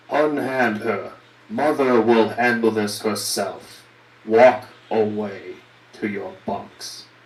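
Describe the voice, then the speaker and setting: A booming, put-on character voice speaks at a very slow pace. There is a slight echo. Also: man, medium pitch for a man. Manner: commanding, booming.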